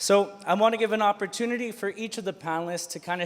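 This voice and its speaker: A man talks with a high pitch. His pitch varies in an ordinary way. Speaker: student union president, panel moderator. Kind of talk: panel moderation. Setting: conference stage with audience.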